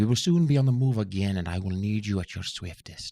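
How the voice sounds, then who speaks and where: Soft-spoken and fairly low in pitch, a man does a put-on character voice on a very clean recording with a silent background. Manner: soft, gentle.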